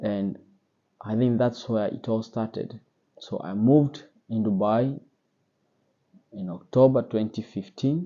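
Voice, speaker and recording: A man with a Kenyan accent speaks at a fairly slow pace and medium pitch, with ordinary pitch variation and long, frequent pauses. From Kenya, central Kenya. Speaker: sommelier and wine vlogger. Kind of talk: personal story vlog. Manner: casual, with fillers and hesitations.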